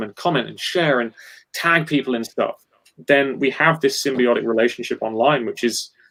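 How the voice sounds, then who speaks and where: A man speaks with an English accent. His pitch is fairly high, with ordinary variation. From England. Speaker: guitarist. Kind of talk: casual chat. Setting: live stream.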